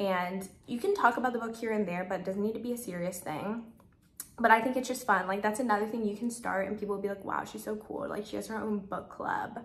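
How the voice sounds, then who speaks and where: A woman speaks very fast at a medium pitch with ordinary pitch variation, and the room echo is audible. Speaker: lifestyle vlogger. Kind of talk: casual talk to camera. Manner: chatty, filler-heavy.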